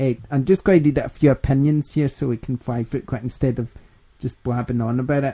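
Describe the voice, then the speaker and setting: A man with a Scottish accent speaks very fast in a medium pitch with a dark, mellow tone and fairly even intonation, the sound dry and close with no echo. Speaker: gaming podcast host. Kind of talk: casual chat.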